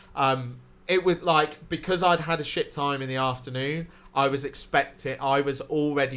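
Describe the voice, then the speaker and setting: This man talks with a southern English accent. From Wales. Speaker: stand-up comedian and podcast co-host. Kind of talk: casual chat. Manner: animated.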